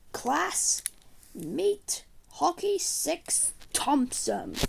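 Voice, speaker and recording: This put-on character voice sits fairly high and swings very widely in pitch. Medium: machinima.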